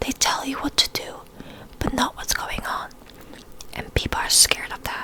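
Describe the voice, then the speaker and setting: A woman whispers over noticeable background noise. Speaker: ASMR creator. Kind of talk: whispered story narration. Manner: whispered, soft, relaxing.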